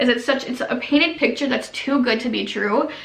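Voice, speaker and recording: Amid noticeable background noise and audible room echo, a woman talks very fast in a high, animated voice. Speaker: YouTuber, former MLM coach. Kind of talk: casual vlog monologue.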